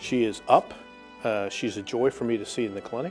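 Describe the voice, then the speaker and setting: A man is speaking. Music plays in the background. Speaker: cardiologist. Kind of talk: interview answer.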